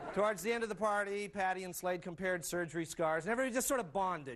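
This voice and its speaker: This man talks at a very fast pace. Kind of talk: comic monologue to audience. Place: stage.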